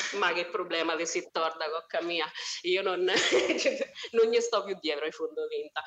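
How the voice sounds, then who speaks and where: The speaker has a strong Umbrian accent and talks at a fairly slow pace. Noticeable background noise runs underneath. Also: woman, fairly low pitch for a woman, ordinary pitch variation. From Umbria, Italy (Spello, near Assisi). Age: 30s. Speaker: social worker. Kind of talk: casual chat.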